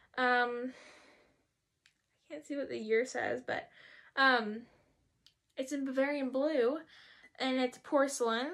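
Against a quiet background, a woman talks at a moderate pace in a high voice with a bright, sharp tone. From US. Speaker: YouTuber; vlogger. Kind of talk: haul video chat. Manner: casual, hesitant with fillers. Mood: playful, self-teasing. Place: home room. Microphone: phone near.

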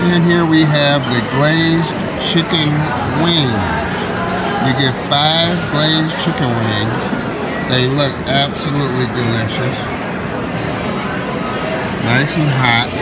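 Music plays in the background as a man talks with ordinary pitch variation. He leaves long, frequent pauses. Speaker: food vlogger filming. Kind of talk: casual vlog chat. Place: bar. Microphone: phone near.

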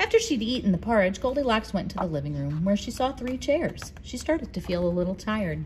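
The intonation here is lively. It belongs to a natural reading voice.

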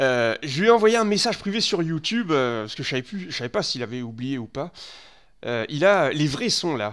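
With a quiet background, a man with a fairly high voice speaks at a moderate pace, his pitch swinging very widely. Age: 30s. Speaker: gaming streamer. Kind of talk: live stream commentary. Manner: halting, many fillers and repetitions. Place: home room. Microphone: headset.

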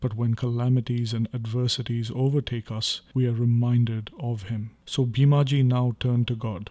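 A man speaks at a moderate pace with a dark, mellow tone. His voice is somewhat breathy. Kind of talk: audiobook reading of a devotional text. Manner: formal, even, reverent narration; steady, measured pace.

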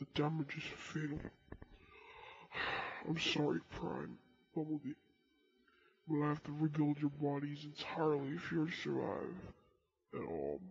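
In a put-on character voice at low-to-middle pitch, the speaker keeps a moderate pace broken by long, frequent pauses. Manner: apologetic then self-satisfied.

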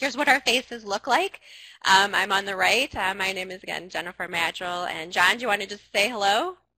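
At a fairly quick pace, a woman speaks with a bright, sharp tone, big swings in loudness and ordinary pitch variation, the sound dry with no echo. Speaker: presenter. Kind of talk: webinar presentation opening.

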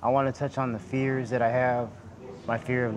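Noticeable background noise sits behind a man's voice. He talks at a moderate pace with monotone, flat intonation. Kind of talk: emotional personal confession to a group. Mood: emotional, vulnerable, pleading. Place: hall.

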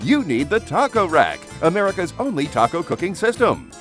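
A man's upbeat tone at a moderate pace, with music in the background. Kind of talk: infomercial read.

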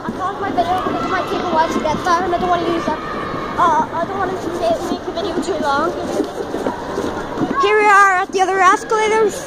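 Very fast speech against loud background noise. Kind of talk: casual vlog chat. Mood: nervous about steep escalators. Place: shop. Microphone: phone near.

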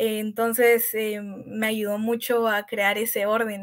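Her pitch is fairly high. The woman's intonation stays monotone and flat. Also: very clean recording, silent background. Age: young. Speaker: university student and author. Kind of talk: panel discussion.

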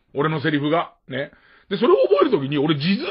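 Very wide swings run through the pitch. The voice is a man's. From Tokyo. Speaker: radio host. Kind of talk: casual chat. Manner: casual.

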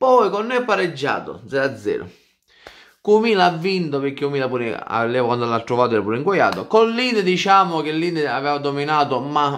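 Loud and animated, a man with a fairly high pitch speaks with very wide pitch swings. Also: quiet background. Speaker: football fan commentator. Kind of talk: casual vlog chat, football commentary. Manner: animated, loud, jokey and provocative; fast, rambling, excited, punchy repeated phrases. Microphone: phone near.

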